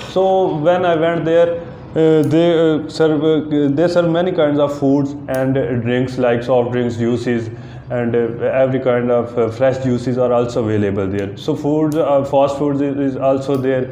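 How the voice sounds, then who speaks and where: A man talks at a fairly slow pace. Audible room echo and light background noise surround him. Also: ordinary pitch variation. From Pakistan, Punjab (near Jhelum); Punjab, Pakistan. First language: Urdu or Punjabi. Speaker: IELTS test candidate. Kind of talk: mock speaking exam. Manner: halting, many fillers.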